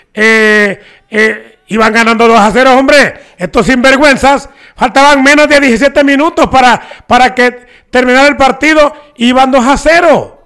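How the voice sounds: A man's extremely high voice, clear and smooth with a fairly bright tone, at a moderate pace with ordinary pitch variation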